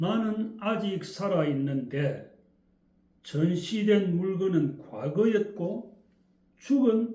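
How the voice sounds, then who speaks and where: A man's high-pitched voice with a strong Gyeongsang accent, dark and mellow in tone, with lively intonation, a very slow pace and audible room echo. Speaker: essay reader and commentator. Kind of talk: reading aloud; casual talk to viewers. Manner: intonation differs from standard Korean.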